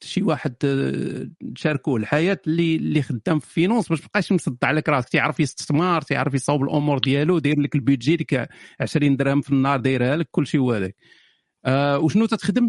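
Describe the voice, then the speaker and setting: A man speaks at a fairly quick pace with a fairly high pitch and lively intonation, in a dry, close sound with no echo. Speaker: live-stream matchmaking host. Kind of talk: casual live-stream chat with callers. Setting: online live room with callers. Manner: animated, joking.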